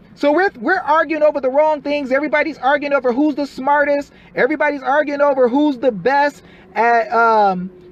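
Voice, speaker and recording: An animated man speaks at a moderate pace in an extremely high pitch. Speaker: activist livestreamer on family courts. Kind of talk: live stream commentary reading documents. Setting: live stream. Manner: animated, emphatic.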